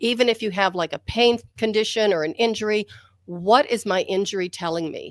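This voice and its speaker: In a very clean recording with a silent background, a woman speaks at a moderate pace. She has a normal speaking voice, a medium pitch, and ordinary pitch variation. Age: 60s. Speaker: author and physical therapist, martial artist. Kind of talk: interview.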